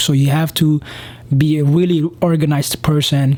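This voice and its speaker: The voice holds a monotone, flat intonation over noticeable background noise. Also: man. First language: not English. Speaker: police officer and vlogger. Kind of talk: casual advice vlog. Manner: hesitant, many fillers.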